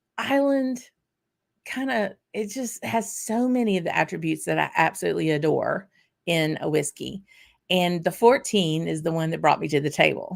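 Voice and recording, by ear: In a put-on character voice, a woman sounds raspy and fairly low in pitch. Her pitch swings very widely at a moderate pace. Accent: Southern US.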